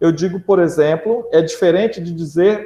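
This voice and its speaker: A man speaks with ordinary pitch variation. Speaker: school teacher. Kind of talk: lecture. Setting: online class.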